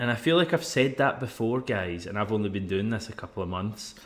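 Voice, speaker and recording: In a Scottish accent, a man speaks at a medium pitch. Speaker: football podcast host. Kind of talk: casual chat. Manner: fast.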